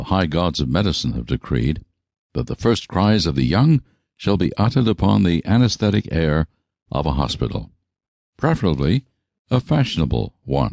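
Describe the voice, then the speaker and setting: A man with a very deep, low pitch and vocal fry swings his pitch very widely, leaving long, frequent pauses, in a dry, close recording with no echo and a quiet background. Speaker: audiobook narrator. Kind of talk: audiobook narration.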